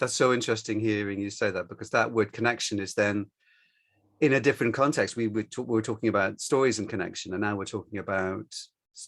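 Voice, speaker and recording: A man at a very fast pace with fairly even intonation and big swings in loudness, in a very clean recording over a silent background. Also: fairly low pitch for a man. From Western country. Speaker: storyteller and podcast host. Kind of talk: interview conversation. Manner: halting.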